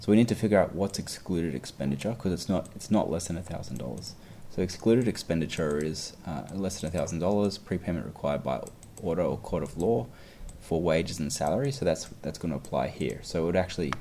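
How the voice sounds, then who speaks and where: Very deep and low, a man's voice has a dark, mellow tone with vocal fry, racing at a very fast pace with lively intonation. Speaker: exam tutor. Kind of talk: tutorial.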